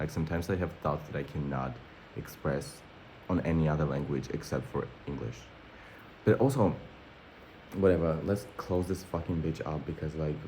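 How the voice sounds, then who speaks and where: With a Russian accent and a very deep, low pitch, a man talks at a fairly quick pace with long, frequent pauses, vocal fry, a dark, mellow tone and ordinary pitch variation. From born in Armenia, schooled in Russia. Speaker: vlogger. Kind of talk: casual vlog monologue. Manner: animated.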